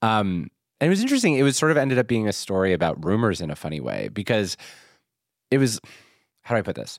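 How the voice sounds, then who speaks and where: On a very clean recording with a silent background, a man with an American accent speaks at a very fast pace in a medium pitch, with very wide pitch swings and long, frequent pauses. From Philadelphia. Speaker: podcast host. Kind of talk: casual chat. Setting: studio.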